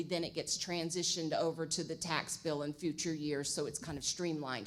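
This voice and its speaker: A woman is speaking. Her pitch is fairly low. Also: very clean recording, silent background. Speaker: budget consultant presenting to city council. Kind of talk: presentation to city council. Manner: fast.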